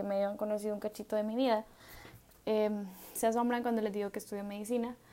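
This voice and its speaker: Her tone dark and mellow, a woman speaks in a monotone, flat intonation. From El Salvador. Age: 20s. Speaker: podcast host, medical student. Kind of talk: solo reflective monologue. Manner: casual, hesitant with fillers.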